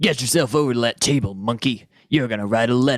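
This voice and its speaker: A man puts on a character voice, talking at a very fast pace with a medium pitch. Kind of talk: 1930s radio acting. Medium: old radio play. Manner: gruff, sneering.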